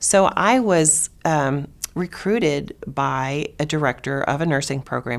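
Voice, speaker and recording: In a very clean recording with a silent background, a woman with a very deep, low pitch speaks at a fairly slow pace with lively intonation. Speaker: nursing educator, founding dean of a college of nursing. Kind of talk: oral history interview answer. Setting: interview recording.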